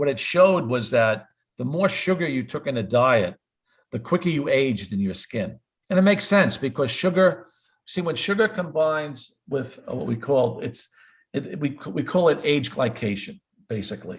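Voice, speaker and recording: At a moderate pace, a somewhat breathy man with a fairly high pitch makes very wide pitch swings. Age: 70s. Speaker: cardiologist. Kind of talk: interview. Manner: repetitive stammering on words.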